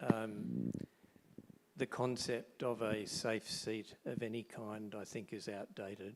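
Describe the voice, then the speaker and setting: Soft-spoken and very slow, a man talks with vocal fry at a fairly low pitch. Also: fairly even intonation. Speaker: audience member. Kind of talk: audience question.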